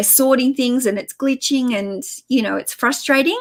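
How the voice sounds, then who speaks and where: A woman with an Australian accent and fairly even intonation. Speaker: online reseller and YouTuber. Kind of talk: live stream chat. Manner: casual, chatty with fillers.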